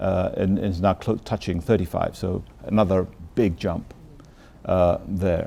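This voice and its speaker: A man with a London accent speaks in a fairly low pitch with a dark, mellow tone. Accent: British English, London. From London, England. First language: Bengali. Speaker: ambassador. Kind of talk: interview. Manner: halting.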